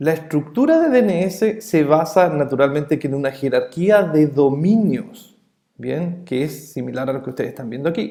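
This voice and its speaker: Speaking with a Chilean accent, a man uses a fairly high pitch, a dark, mellow tone and lively intonation at a fairly slow pace. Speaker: networking instructor. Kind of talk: lecture. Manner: hesitant fillers.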